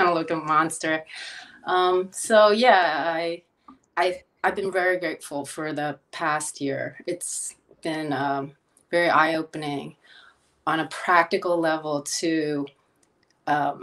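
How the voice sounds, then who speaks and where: With a Philadelphia accent, a woman with a fairly low pitch talks at a very slow pace, her intonation fairly even and her pauses long and frequent. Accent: American, Philadelphia. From Philadelphia, US (moved from Korea at six). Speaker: chef and health counselor. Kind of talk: interview conversation. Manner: hesitant, many fillers.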